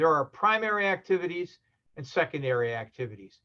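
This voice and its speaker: Here is a man talking. His intonation is lively. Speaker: university lecturer. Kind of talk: lecture. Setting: video call. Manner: hesitant, many fillers.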